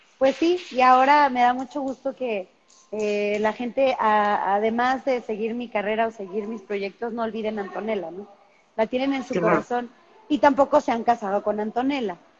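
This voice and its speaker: At a moderate pace, a woman talks with ordinary pitch variation over light background noise. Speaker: actress interview guest. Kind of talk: interview answer. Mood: cheerful, promotional. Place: home room. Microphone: video call.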